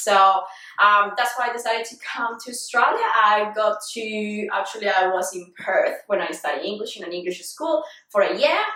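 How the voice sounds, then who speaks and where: At a moderate pace, a woman with a Colombian accent and fairly high pitch speaks with lively intonation. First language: Spanish. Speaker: fitness vlogger. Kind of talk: casual interview.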